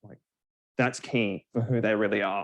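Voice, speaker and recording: The speech goes at a fairly slow pace. Its pitch variation is ordinary. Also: man. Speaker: presenter. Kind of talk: lecture. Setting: live session with online and in-person audience. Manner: many fillers.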